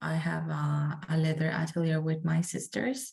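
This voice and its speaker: Soft-spoken and somewhat breathy, a woman speaks at a fairly slow pace in a very deep, low pitch with a Spanish accent. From Colombia, Medellin. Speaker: student. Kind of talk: class self-introduction. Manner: hesitant, many fillers.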